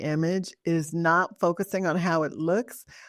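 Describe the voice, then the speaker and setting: A woman speaks in a plain, everyday voice at a fairly slow pace with a fairly low pitch. The recording is very clean, with a silent background. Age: 60s. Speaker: podcast co-host. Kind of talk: casual chat.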